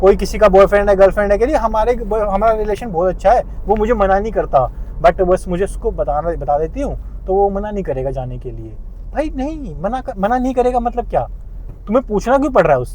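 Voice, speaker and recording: Noticeable background noise runs behind this clip. A man speaks in an animated tone at a moderate pace. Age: 30s. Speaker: vlogger. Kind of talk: casual vlog monologue.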